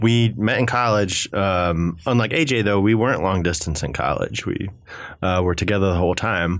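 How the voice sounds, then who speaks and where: A man with an ordinary speaking voice, pitched fairly low. He talks at a moderate pace with ordinary pitch variation and very even loudness. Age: 20s. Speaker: radio show guest. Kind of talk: casual chat. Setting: studio.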